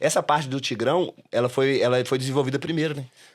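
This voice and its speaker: A man at medium pitch with ordinary pitch variation, in a very clean recording with a silent background. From Brazil, Belo Horizonte (Minas Gerais). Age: 30s. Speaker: comedy club owner and stand-up comedian. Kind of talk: podcast interview. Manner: casual, hesitant with repetitions.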